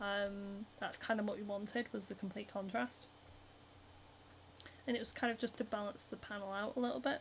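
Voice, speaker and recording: A woman with a Northern English accent talks at a fairly quick pace with long, frequent pauses. Her voice is medium in pitch, somewhat breathy, with ordinary pitch variation. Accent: Northern British. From Scotland, Edinburgh. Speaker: cosplayer and craft livestreamer. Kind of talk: casual chat. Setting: solo livestream. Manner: animated.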